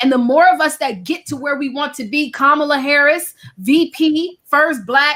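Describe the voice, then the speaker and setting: A woman speaks at a high pitch with an American accent. Her voice is raised and projected. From Virginia, US. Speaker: author and speaker. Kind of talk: casual chat. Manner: loud.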